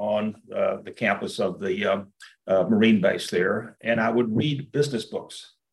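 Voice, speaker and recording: This man has a fairly low pitch and speaks at a moderate pace. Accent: Texan. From US South, rural East Texas. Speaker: business executive, investor. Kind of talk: interview. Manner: halting, many repeated words.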